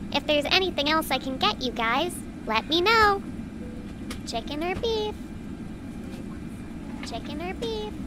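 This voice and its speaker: Amid loud background noise, a female-sounding voice performs a put-on character voice at a high pitch, broken by long, frequent pauses. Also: moderate pace. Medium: audio drama. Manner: polite, repetitive.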